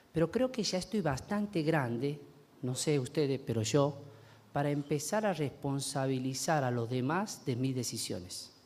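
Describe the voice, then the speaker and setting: A man speaks in a normal speaking voice at a fairly slow pace. His pitch is fairly high, and his intonation is lively. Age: 40s. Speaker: pastor. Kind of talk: sermon.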